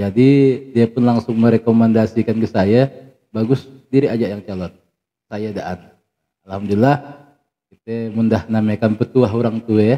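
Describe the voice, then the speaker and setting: A man talks at a moderate pace in a dark, mellow tone with fairly even intonation. He takes long, frequent pauses against a quiet background. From West Kalimantan, Sambas area; West Kalimantan. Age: 30s. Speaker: village head; guest. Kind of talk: interview. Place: studio.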